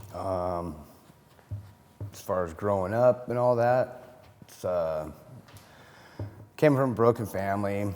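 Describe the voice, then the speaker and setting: Speaking at a very slow pace with long, frequent pauses, a man shows ordinary pitch variation and big swings in loudness, with audible room echo around him. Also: fairly low pitch for a man. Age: 50s. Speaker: recovering addict, program member. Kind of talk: testimony.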